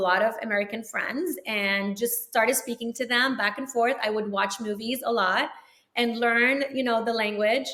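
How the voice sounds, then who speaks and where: A bright, sharp tone at a fairly quick pace, with fairly even intonation. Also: woman. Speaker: orthodontist. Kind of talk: interview chat.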